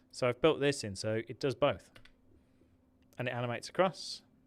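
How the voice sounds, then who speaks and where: A man with an English accent at a moderate pace, with ordinary pitch variation. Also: very clean recording, silent background. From England. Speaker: tech YouTuber. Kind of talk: livestream software tutorial. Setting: livestream. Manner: casual, chatty.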